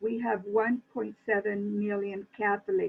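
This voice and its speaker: A woman talks at a fairly slow pace. She has an ordinary speaking voice. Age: 60s. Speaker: church administrator. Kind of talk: interview.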